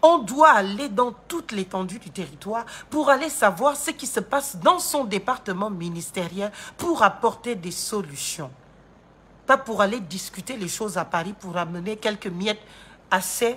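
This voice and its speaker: Speaking at a fairly slow pace, a woman with a medium pitch makes very wide pitch swings and big swings in loudness. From Gabon. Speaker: political commentator and lawyer. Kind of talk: political commentary monologue. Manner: animated.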